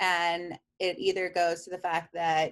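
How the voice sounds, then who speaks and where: A woman speaks in an ordinary speaking voice with an American accent. Her pitch is medium and her pace fairly slow. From Queens, New York. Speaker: real estate agent. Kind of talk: interview.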